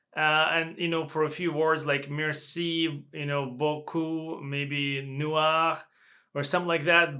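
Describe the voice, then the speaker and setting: A man speaks at a very slow pace in a fairly high pitch, his tone bright and sharp, his intonation flat and monotone, with a non-native accent, on a very clean recording with a silent background. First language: not English. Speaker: language learner and reviewer. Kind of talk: product review vlog. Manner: halting.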